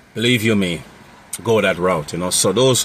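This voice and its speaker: There is noticeable background noise behind this man. He talks at a moderate pace and fairly low pitch with ordinary pitch variation. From Jamaica. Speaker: mobile mechanic and road service business owner. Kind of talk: unscripted tutorial talk. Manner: casual, many fillers and repetitions.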